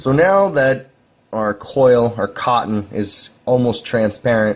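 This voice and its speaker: A man speaks at a medium pitch. His intonation is lively. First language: not English. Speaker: vaping hobbyist video maker. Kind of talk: tutorial. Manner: halting, with repeated words; casual.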